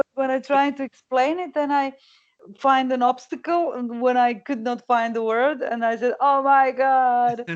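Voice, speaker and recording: Speaking at a moderate pace, a woman with a high voice keeps her intonation fairly even. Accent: Croatian. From Croatia. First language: Croatian. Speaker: singer. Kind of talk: interview. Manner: halting.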